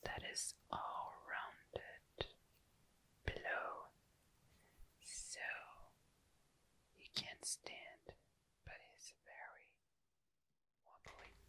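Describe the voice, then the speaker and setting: A man whispers at a very slow pace, with long, frequent pauses. His loudness swings widely. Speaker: ASMR creator. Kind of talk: ASMR item description. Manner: whispered, soft-spoken.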